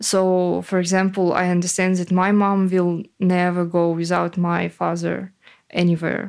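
Very even loudness and monotone, flat intonation define a woman's fairly low-pitched voice on a very clean recording with a silent background. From Ukraine, Poltava. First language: Ukrainian (speaking German). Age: 20s. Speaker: war refugee, freelance copywriter. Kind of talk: interview. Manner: halting, many fillers.

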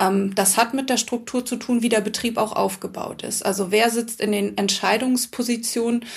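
With hardly any pauses, a woman speaks at a moderate pace in a fairly high voice, her intonation flat and monotone. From Hamburg. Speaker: author and former actress. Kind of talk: casual chat.

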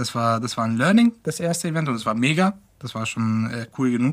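A man talks fairly quickly in a somewhat breathy voice. His pitch sits in the middle range, and his intonation is lively. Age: 20s. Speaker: web and tech team member. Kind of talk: casual interview.

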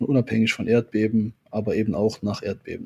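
His tone comes across dark and mellow. This man's pitch sits in the medium range. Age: 30s. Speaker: volunteer search and rescue leader. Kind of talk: interview.

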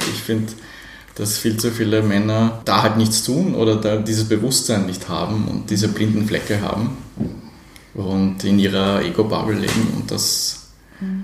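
A man's fairly low voice at a moderate pace, with monotone, flat intonation, long, frequent pauses, audible room echo and noticeable background noise. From Poland, raised in Austria. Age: 40s. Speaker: gender equality project coordinator and diversity trainer. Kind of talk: casual interview. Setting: café.

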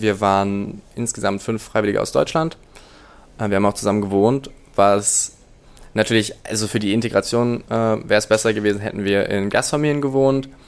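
A man speaks at a fairly quick pace. His pitch is fairly low and his intonation fairly even. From northern Germany (Rostock). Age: 20s. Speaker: law student, returned volunteer. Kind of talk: interview. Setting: in-person recording. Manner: hesitant, many filler sounds.

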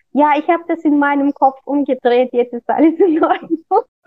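A woman in a Russian accent talks at a moderate pace with ordinary pitch variation. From Kazakhstan. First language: Russian (speaking German). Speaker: fashion designer. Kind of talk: interview. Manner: halting.

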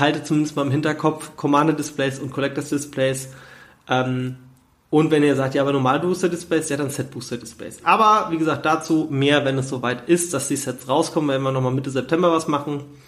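A man talks at a fairly quick pace. His pitch sits fairly high. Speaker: podcast host on trading card investing. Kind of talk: casual solo podcast talk. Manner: energetic.

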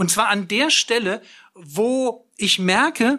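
A man speaks in a raised, projected voice of extremely high pitch, with a bright, sharp tone and lively intonation. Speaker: preacher. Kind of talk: sermon, direct address to listeners, teaching. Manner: earnest and lively, plain-spoken, emphatic; blunt, self-deprecating, with a sense of humor.

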